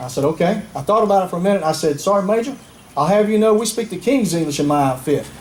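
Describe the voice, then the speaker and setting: A man's high voice with a Southern US accent, very fast and lively in intonation, over noticeable background noise. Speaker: retired army general, keynote speaker. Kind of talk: patriotic public speech.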